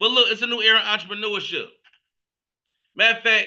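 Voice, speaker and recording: Raising and projecting his voice, a man sounds animated, with a bright, sharp tone. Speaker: business opportunity presenter. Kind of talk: sales pitch. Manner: fast.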